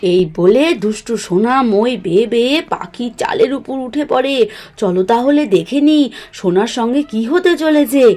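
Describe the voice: A woman at a fairly slow pace and fairly high pitch, with few pauses. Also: lively intonation, slightly mellow tone.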